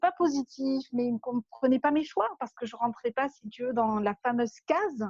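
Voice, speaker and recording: With a southern French accent, a woman speaks at a high pitch with ordinary pitch variation and hardly any pauses, in a dry, close sound with no echo. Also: moderate pace. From southern France. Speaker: life coach for entrepreneurs. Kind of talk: interview.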